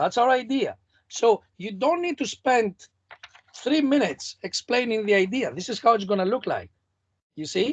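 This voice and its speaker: The voice comes with a non-native accent. Its pace is moderate. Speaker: competition mentor. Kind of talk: online workshop feedback. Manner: animated.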